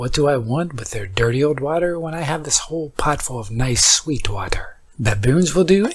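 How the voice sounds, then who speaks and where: Over noticeable background noise, a man with a fairly high pitch uses a calm, soothing tone and lively intonation at a moderate pace. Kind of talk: sleep story.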